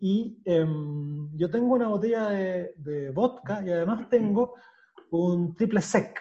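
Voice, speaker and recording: A man speaking at a fairly slow pace, high in pitch, with ordinary pitch variation. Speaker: podcast host. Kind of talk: casual chat.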